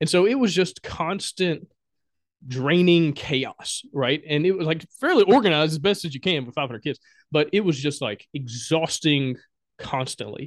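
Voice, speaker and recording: A man with a Southern US accent speaks at a moderate pace with a fairly high pitch and ordinary pitch variation. The recording is dry and close, with no echo. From Alabama, US South. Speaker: board game designer and podcaster. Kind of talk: casual interview chat.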